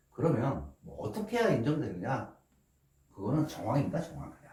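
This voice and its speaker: A man's fairly high voice with very wide pitch swings, a moderate pace and audible room echo. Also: long, frequent pauses, big swings in loudness. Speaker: law office manager explaining inheritance law. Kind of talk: lecture. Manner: speeds up as he goes.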